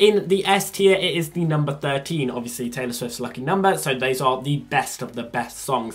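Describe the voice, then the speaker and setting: A man speaks with lively intonation, keeping a moderate pace. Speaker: youtuber. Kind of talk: casual vlog chat. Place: home room. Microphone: phone near.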